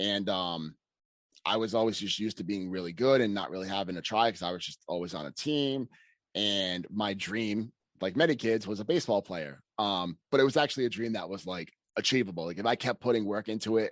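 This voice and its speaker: A man with a Boston accent speaks at a fairly quick pace against a quiet background. His pitch is fairly low, with ordinary variation. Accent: Boston-area. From Massachusetts, US. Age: 30s. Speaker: personal trainer. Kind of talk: podcast interview.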